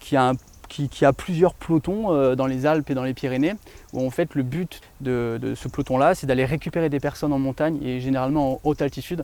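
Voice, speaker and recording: Fairly high in pitch with a dark, mellow tone, a man speaks with ordinary pitch variation. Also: fairly quick pace. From France, Grenoble region. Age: 30s. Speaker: real estate dealer, ex-soldier. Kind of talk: interview. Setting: outdoors in a forest.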